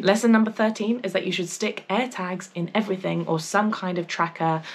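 A woman at a medium pitch with an English accent. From England. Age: 20s. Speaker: travel vlogger. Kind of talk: casual vlog talk to camera. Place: home room.

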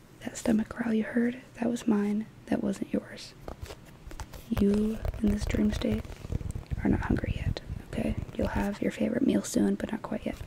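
Whispering and soft-spoken at a moderate pace, this voice leaves long, frequent pauses over light background noise. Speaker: ASMR artist. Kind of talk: guided imagery relaxation. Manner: soft-spoken, whispered. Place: home room. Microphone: studio mic.

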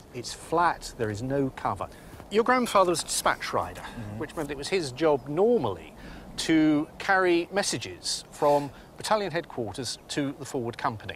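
A man talks at a moderate pace with very wide pitch swings. The sound is dry with no echo, over light background noise. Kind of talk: explanatory interview talk. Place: open country.

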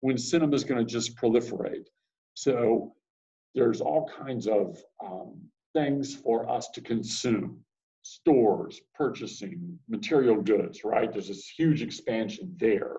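Over a quiet background, a man with a medium pitch and a dark, mellow tone speaks with lively intonation. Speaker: teacher. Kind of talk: classroom lecture to students. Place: classroom. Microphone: webcam.

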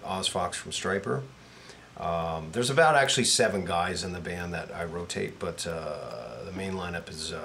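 A man talks at a fairly slow pace with a very deep, low pitch. Audible room echo and noticeable background noise surround his voice. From Canada, Toronto. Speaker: rock guitarist. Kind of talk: casual chat.

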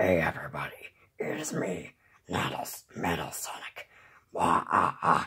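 In a put-on character voice, the speaker talks at a fairly slow pace with a raspy, low-pitched sound and long, frequent pauses. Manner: robotic.

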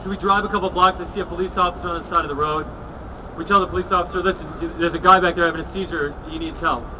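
Over noticeable background noise, a man speaks at a very fast pace in a high pitch with monotone, flat intonation. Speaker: public speaker. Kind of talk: speech. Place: street. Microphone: podium.

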